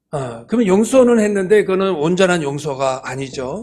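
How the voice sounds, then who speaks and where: Speaking at a moderate pace, a man uses a fairly high pitch that swings very widely. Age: 60s. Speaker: church elder and business owner. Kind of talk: testimony. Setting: church service. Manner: halting, many fillers.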